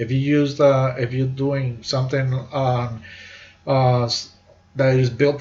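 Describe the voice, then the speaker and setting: Somewhat breathy, a man speaks at medium pitch with audible room echo around him. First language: not English. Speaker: university instructor; army veteran. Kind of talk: lecture. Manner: halting, many fillers and repeats.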